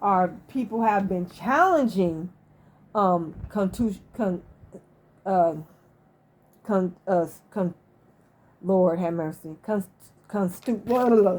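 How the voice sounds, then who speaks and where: With an American accent, a woman speaks very slowly, taking long, frequent pauses, with ordinary pitch variation. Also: medium pitch for a woman. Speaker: YouTube commentator. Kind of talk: casual monologue. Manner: halting.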